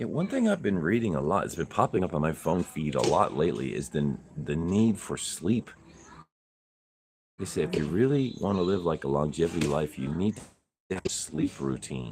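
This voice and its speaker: A man's very deep, low voice with vocal fry at a moderate pace. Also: lively intonation. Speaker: podcast co-host, vlogger. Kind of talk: casual livestream chat.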